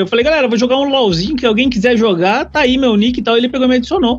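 A man speaks with lively intonation. Noticeable background noise runs under his voice. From Brazil, Curitiba. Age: 30s. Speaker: YouTuber on photography and vaping. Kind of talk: casual chat.

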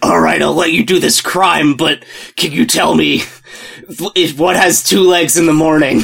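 A man puts on a raspy character voice at a fairly high pitch. He keeps a moderate pace and very even loudness, with long, frequent pauses. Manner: brooding, gruff.

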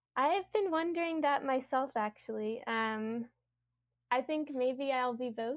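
Speaking at a fairly slow pace, a woman with an American accent uses a high pitch and ordinary pitch variation. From US South, Louisiana. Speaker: graduate student, climate scientist. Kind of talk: interview.

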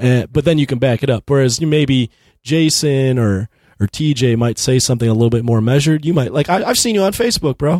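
Very fast speech from a man, with ordinary pitch variation and very even loudness. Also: medium pitch for a man. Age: 30s. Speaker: podcast host. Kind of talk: casual chat.

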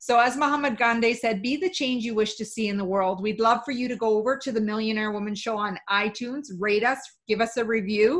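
A woman talks at a fairly quick pace with hardly any pauses, her pitch fairly high and varying in an ordinary way. It is an unremarkable speaking voice in a very clean recording with a silent background. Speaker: podcast host and coach. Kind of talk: interview.

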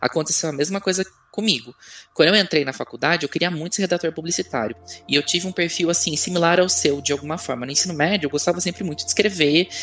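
Music runs in the background as the words pour out at a very fast pace. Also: man, high pitch for a man, ordinary pitch variation. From Brazil, São Paulo. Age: 30s. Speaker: communications researcher and author. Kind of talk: casual interview.

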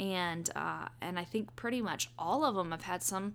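Over a silent background in a very clean recording, a woman with a fairly low pitch and a bright, sharp tone speaks at a moderate pace, her pitch swinging very widely with vocal fry. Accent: American. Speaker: podcast host and childbirth educator. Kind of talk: casual monologue. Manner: conversational, with fillers.

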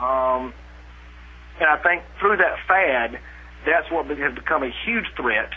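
A man with a South Carolina accent, very slow, with long, frequent pauses. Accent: Southern US (South Carolina). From US South, upstate South Carolina. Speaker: chiropractor and technique teacher. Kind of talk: interview.

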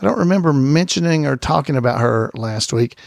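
With an Alabama accent, a man speaks with lively intonation. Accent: Southern US (Alabama). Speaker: podcast host. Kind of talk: casual podcast monologue. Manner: hesitant, frequent fillers.

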